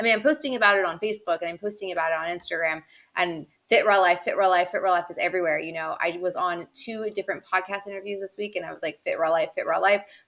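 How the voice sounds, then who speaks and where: Over a quiet background, a woman talks at a very fast pace with ordinary pitch variation. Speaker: vlogger and blogger. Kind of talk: casual vlog update.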